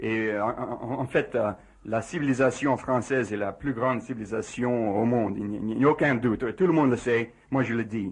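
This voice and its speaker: At a moderate pace, a man with an English accent speaks at medium pitch with ordinary pitch variation. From USA. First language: English (speaking French). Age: 40s. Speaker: physicist. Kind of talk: radio interview. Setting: radio studio. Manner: halting, many hesitations.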